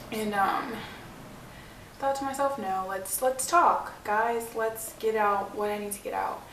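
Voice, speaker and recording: Noticeable background noise and audible room echo surround a woman's fairly high voice. Her pitch variation is ordinary, while her loudness swings a lot. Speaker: vlogger. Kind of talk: personal vlog. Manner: fast.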